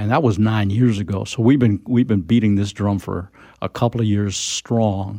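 A man with a plain, everyday voice and an American accent speaks at a moderate pace with fairly low pitch and fairly even intonation, in a very clean recording with a silent background. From expat childhood in France, American parents. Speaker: environmental advocacy leader. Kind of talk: radio interview.

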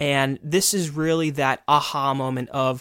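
A man with a plain, everyday voice speaks at a fairly slow pace and a fairly high pitch. His intonation is fairly even, and the recording is very clean with a silent background. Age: 20s. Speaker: podcast co-host, hearing care provider. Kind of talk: educational podcast discussion.

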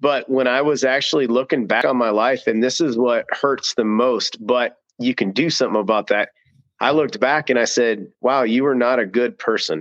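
Recorded dry and close with no echo, a plain, everyday voice moves at a moderate pace. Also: man, very even loudness. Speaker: author and co-host. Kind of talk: casual chat.

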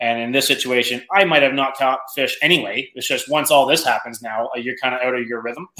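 With an Ontario accent, a man at medium pitch talks at a fairly quick pace with fairly even intonation and hardly any pauses. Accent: Canadian (Ontario). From Canada, Ontario (north of Toronto). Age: 30s. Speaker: professional bass angler. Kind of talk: casual interview chat.

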